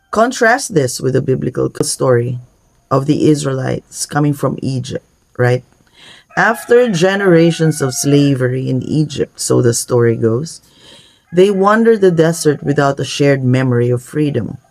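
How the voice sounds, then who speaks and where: Music plays behind a man speaking at a moderate pace. His pitch is fairly high. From Philippines. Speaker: minister. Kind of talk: sermon.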